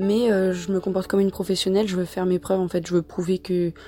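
A woman's medium-pitched voice, dark and mellow in tone. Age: 20s. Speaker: social work trainee. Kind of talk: personal testimony. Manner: hesitant, many fillers.

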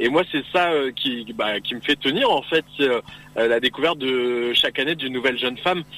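A man's fairly high voice at a fairly quick pace, with ordinary pitch variation, over noticeable background noise. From Picardy, northern France. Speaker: beauty pageant regional delegate. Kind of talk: radio interview. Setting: phone call from a car.

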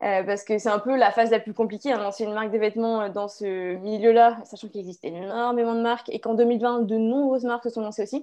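A woman's fairly high voice, dark and mellow in tone, very fast with hardly any pauses, fairly even intonation, big swings in loudness, and a quiet background. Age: 20s. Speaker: clothing brand founder, entrepreneur. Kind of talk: interview. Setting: video call.

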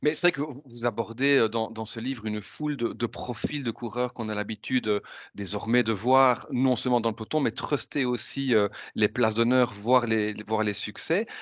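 A man with an unremarkable speaking voice talks at medium pitch and a moderate pace. His intonation is fairly even, and the background is quiet. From Belgium, Ardennes. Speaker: podcast host. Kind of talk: casual chat.

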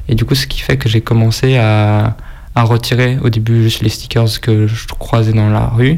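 Speech comes at a fairly slow pace with very even loudness and fairly even intonation. Noticeable background noise runs underneath. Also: man, medium pitch for a man. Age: 20s. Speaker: sticker collector. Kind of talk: interview.

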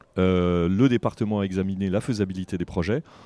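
On a very clean recording with a silent background, a man with a dark, mellow tone speaks at a moderate pace in a dry, close sound with no echo. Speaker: radio host. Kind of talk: radio presentation. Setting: outdoor market.

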